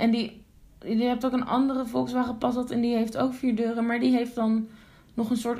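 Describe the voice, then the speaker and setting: Audible room echo surrounds a woman's high-pitched voice, dark and mellow in tone and delivered in a monotone, flat intonation. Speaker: podcast co-host. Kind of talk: casual chat.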